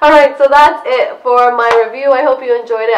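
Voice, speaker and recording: The speech has lively intonation and a fairly quick pace, with noticeable background noise underneath. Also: woman. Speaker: beauty vlogger. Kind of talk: product review vlog. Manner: casual, chatty.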